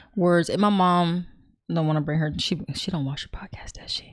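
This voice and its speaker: A woman with a plain, everyday voice, fairly low in pitch, at a moderate pace with fairly even intonation, on a very clean recording over a silent background. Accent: American. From California. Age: 40s. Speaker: podcast guest. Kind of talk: casual chat.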